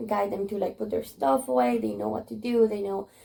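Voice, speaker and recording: A woman's voice with a Spanish accent. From Spanish-speaking country. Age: 20s. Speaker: kindergarten teacher. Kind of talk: interview. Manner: casual, many fillers.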